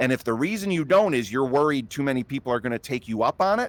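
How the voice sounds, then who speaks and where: Very wide swings mark the intonation. There is no echo, and the sound is dry and close. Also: man. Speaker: marketing expert giving workshop talk. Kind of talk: online workshop presentation. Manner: fast.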